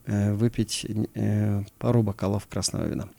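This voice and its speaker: The recording is very clean, with a silent background. A man speaks in a dark, mellow tone. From Kyrgyzstan, Issyk-Kul region. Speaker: mountaineer and former security officer. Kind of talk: interview.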